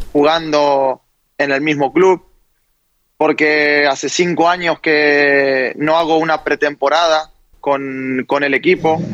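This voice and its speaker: Very slow and monotone, with flat intonation, a man speaks at a fairly high pitch. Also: dry, close sound with no echo. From Argentina. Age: 20s. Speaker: footballer. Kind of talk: interview. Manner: halting.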